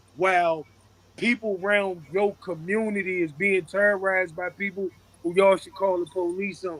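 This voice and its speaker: A man with a high pitch speaks loudly at a moderate pace in a flat monotone. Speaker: podcast co-host. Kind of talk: casual chat.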